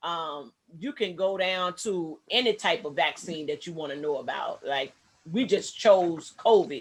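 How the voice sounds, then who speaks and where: The speech comes at a fairly slow pace on a very clean recording with a silent background. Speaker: online video host. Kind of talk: screen-share commentary. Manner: loud.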